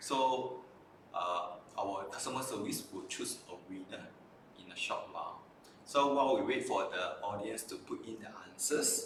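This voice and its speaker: Fairly slow male speech, noticeable background noise and audible room echo. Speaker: optometrist hosting a live stream. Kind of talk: live stream presentation. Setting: live stream.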